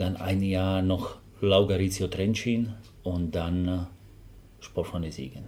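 Very slow and marked by long, frequent pauses, a man speaks with a very deep, low pitch, fairly even intonation and a Slovak accent amid audible room echo. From Slovakia. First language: Slovak (speaking German). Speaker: football assistant coach. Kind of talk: interview. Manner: halting.

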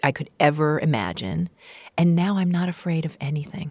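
With a New York accent, a woman speaks at a moderate pace in a very deep, low voice, recorded dry and close with no echo. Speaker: playwright and solo performer. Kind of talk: interview conversation. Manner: animated.

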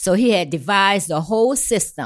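A woman speaks at medium pitch and a moderate pace in a New Orleans accent. Her intonation is lively, and the recording is very clean with a silent background. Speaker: community activist. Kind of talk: casual chat. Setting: studio.

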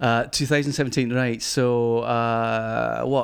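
A man with a Glaswegian accent, medium pitch and fairly even intonation, in a very clean recording with a silent background. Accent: Glaswegian Scottish. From Scotland, Glasgow. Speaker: cider importer and magazine publisher. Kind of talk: casual interview. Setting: venue with small live audience.

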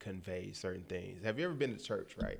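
On a very clean recording with a silent background, a man speaks in an animated tone with an American accent. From Detroit. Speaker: radio show host and DJ. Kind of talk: casual chat.

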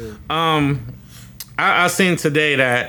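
Bright, sharp tone from a man, his pitch varying in an ordinary way. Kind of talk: hyped mock radio DJ intro in casual banter. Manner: hyped, playful, sing-song like a radio jock.

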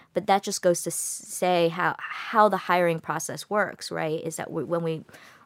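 With an American accent, a woman uses a normal speaking voice at a fairly low pitch and fairly even intonation, on a very clean recording with a silent background. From United States. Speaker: film director. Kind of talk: interview. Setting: studio.

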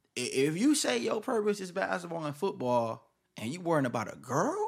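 Fairly high-pitched with vocal fry, a man speaks at a fairly quick pace, his pitch swinging very widely. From Milwaukee, Wisconsin. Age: 20s. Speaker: YouTuber. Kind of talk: casual chat.

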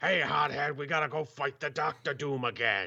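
Putting on a raspy character voice, a man talks at a moderate pace with a fairly high pitch. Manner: brash.

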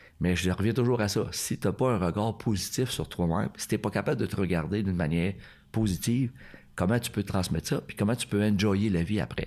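Over a very clean recording with a silent background, a man with a very deep, low pitch talks at a fairly quick pace with ordinary pitch variation. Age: 60s. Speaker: karate instructor. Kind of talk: casual chat.

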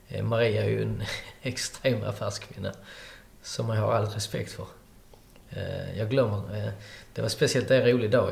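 A man's voice comes with audible room echo. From Skåne, Sweden (countryside near Hörby). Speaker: restaurant owner. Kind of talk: interview. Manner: halting.

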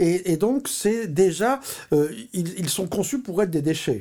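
A man's dark, mellow voice with lively intonation at a fairly slow pace. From Paris, France. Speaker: artist and photographer. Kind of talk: interview.

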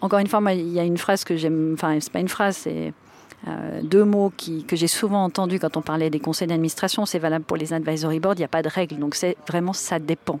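In a plain, everyday voice, a woman speaks at a fairly low pitch with fairly even intonation. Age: 40s. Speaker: board member and digital transformation consultant. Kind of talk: interview.

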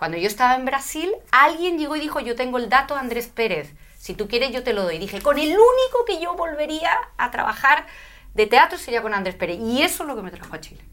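A woman's high, bright, sharp voice at a fairly quick pace, with very wide pitch swings and big swings in loudness. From Spain, Madrid. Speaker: spiritual teacher and speaker. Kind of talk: interview.

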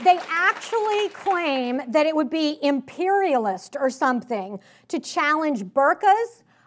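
A woman's high-pitched, animated voice, fairly slow pace, very wide pitch swings. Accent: slight Southern US. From Richmond, Virginia, US South. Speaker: author and political speaker. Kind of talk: conference speech. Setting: stage with audience. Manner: casual, conversational, animated.

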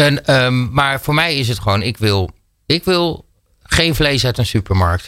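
A man's bright, sharp voice at a medium pitch, fairly slow in pace and lively in intonation, on a very clean recording with a silent background. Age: 40s. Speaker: radio host. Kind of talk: casual chat. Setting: studio.

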